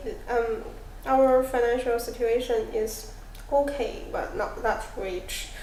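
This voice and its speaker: A woman with a Chinese accent speaks at a high pitch with ordinary variation. Room echo is audible. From China. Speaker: international student. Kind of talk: role-play counselling interview. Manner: halting.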